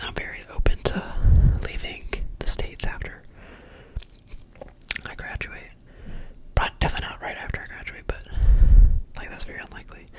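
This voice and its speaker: Whispering at a fairly quick pace, broken by long, frequent pauses, over noticeable background noise. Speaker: college student with summer internship. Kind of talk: asmr roleplay phone call, casual conversation. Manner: whispered, soft-spoken.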